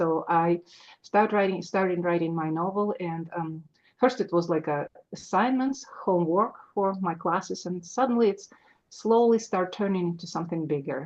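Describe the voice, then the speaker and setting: A woman with a Russian accent speaks at a moderate pace in a fairly low pitch, with ordinary pitch variation. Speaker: author. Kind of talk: interview. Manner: halting, many fillers.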